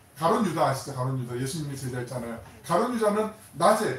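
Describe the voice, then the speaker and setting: A man talks at a fairly quick pace. The recording has noticeable background noise and audible room echo. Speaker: pastor. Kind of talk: sermon. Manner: fast; animated.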